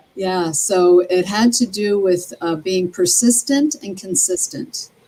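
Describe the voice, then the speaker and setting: A woman with an American accent speaks very slowly at a medium pitch with lively intonation. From New Jersey (Atlantic City). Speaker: interview guest. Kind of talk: interview. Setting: live stream.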